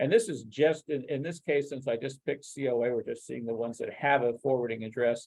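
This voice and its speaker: At a very fast pace, a man talks with a dark, mellow tone at a medium pitch. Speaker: software product expert presenting a demo. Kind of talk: webinar product demo. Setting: online webinar. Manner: halting, many fillers and restarts.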